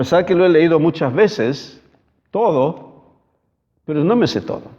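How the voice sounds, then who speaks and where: The speech moves at a fairly slow pace with lively intonation. Audible room echo surrounds it. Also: man. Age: 60s. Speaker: pastor. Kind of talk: sermon. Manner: halting.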